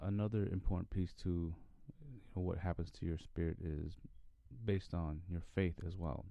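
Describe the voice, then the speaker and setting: A man with a very deep, low voice talks at a moderate pace with ordinary pitch variation and long, frequent pauses. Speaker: podcast host. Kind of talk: casual monologue podcast.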